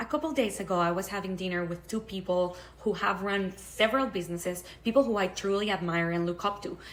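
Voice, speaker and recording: A woman with a non-native accent speaks at a fairly quick pace with ordinary pitch variation. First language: not English. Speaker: online creator, public speaker. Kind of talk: vlog monologue.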